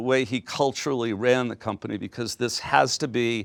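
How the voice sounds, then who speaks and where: This man talks at a fairly quick pace in a medium pitch, a normal speaking voice. The recording is very clean, with a silent background. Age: 60s. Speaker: business executive. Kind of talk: lecture. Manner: casual.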